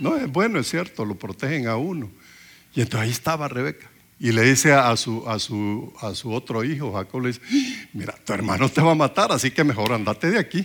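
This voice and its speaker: In a plain, everyday voice, a man with a medium pitch talks at a fairly quick pace with lively intonation. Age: 60s. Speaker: preacher. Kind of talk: sermon.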